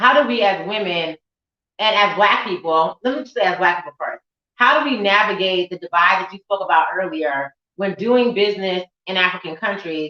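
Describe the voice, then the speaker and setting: A woman speaks in an unremarkable speaking voice at a medium pitch, with ordinary pitch variation, big swings in loudness, a fairly quick pace, and a dry, close sound with no echo. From United States. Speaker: event host. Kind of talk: panel discussion.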